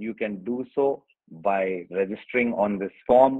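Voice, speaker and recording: The speaker has an Indian accent and fairly even intonation. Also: man. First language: Hindi. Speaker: online workshop presenter. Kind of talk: tutorial. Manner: hesitant, many fillers.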